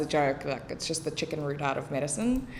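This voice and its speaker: A woman speaks with a very deep, low pitch. Audible room echo surrounds her voice. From South Africa, Cape Town northern suburbs. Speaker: English teacher and special education tutor. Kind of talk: casual podcast interview.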